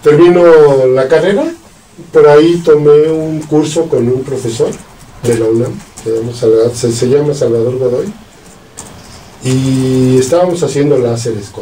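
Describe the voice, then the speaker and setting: Speech in a central Mexican accent comes at a fairly slow pace with long, frequent pauses and ordinary pitch variation. Noticeable background noise and audible room echo fill the recording. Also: man, medium pitch for a man. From central Mexico, Salamanca, Guanajuato. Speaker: physicist and professor. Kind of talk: casual interview, life story.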